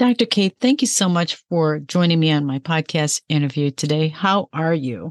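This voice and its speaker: A woman speaks at a very deep, low pitch and a moderate pace, with lively intonation and hardly any pauses. Her loudness is very even, and the sound is dry and close with no echo. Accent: Chicago. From Chicago, US Midwest. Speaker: podcast host. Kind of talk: interview; scripted intro.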